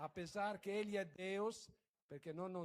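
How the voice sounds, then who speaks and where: With an Italian accent, a man speaks at a high pitch. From Italy. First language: Italian (speaking Portuguese). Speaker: guest preacher. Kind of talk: sermon. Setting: church. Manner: halting.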